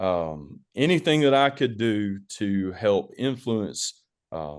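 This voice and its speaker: With a Southern US accent, a man speaks at a very slow pace in a fairly low pitch with very wide pitch swings, over a quiet background. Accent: Southern twang. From US South, northeast Alabama (rural). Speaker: school administrator. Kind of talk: webinar presentation.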